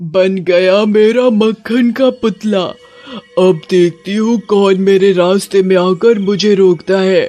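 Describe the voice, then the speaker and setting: A cartoonish character voice delivers its lines at a fairly slow pace over faint music in the background. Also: man, high pitch for a man. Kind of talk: animated children's horror story narration. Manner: scary, eerie.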